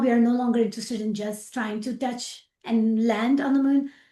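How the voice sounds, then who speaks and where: A high-pitched woman's voice with a dark, mellow tone, in a Pakistani accent. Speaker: aerospace engineer. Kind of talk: interview.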